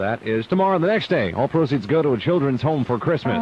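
Over music in the background, the voice races at a very fast pace in an upbeat, energetic tone, with a dry sound and no echo. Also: man. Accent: American. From United States, St. Louis. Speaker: radio disc jockey. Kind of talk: top-40 radio DJ patter. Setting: 1970s AM radio broadcast. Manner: upbeat, fast, energetic. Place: booth. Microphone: old recording.

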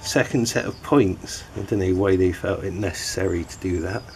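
Light background noise sits behind a man whose fairly low voice moves at a fairly slow pace. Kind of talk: tutorial. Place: garden. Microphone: camera far.

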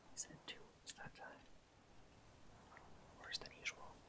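Against noticeable background noise, a man is whispering. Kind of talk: whispered character dialogue reading. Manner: whispered, soft.

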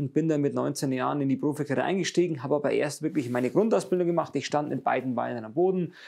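A man's intonation stays fairly even over a quiet background. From Bavaria, Munich area; Bavaria. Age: 30s. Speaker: speedway racer; interviewee. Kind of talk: interview. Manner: halting. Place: workshop. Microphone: lapel.

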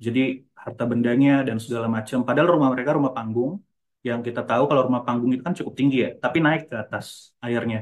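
A man's very fast, medium-pitched speech with fairly even intonation against a quiet background. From North Sumatra. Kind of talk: conference presentation. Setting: video call. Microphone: video call.

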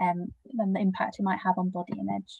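A woman speaks at a fairly quick pace over a quiet background. Her voice is somewhat breathy. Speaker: charity webinar moderator. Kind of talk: webinar Q&A moderation. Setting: video call. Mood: warm, gentle, sensitive topic. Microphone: video call.

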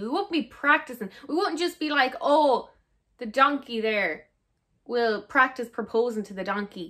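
A woman's high-pitched voice in an Irish accent, bright and sharp in tone, with big swings in loudness, a moderate pace and a quiet background. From Ireland. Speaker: actor. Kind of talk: casual reaction to camera. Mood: amused, exasperated. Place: home room.

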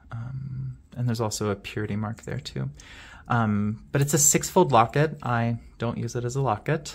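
At a moderate pace, a shaky voice comes through on a very clean recording with a silent background. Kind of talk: show-and-tell video monologue. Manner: hesitant, many fillers; shaky voice from excitement.

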